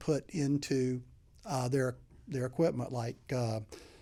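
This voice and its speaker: A dark, mellow voice with a slight Southern accent and ordinary pitch variation comes through on a very clean recording with a silent background. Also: man. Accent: slight southern drawl. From US South, Mobile, Alabama. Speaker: HVAC sales consultant. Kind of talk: podcast interview. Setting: studio. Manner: halting, many repeated words.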